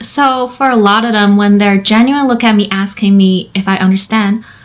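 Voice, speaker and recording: A woman with a Chinese accent speaks at a medium pitch and a moderate pace. Her pitch varies in an ordinary way. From China. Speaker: therapist. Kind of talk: personal storytelling monologue.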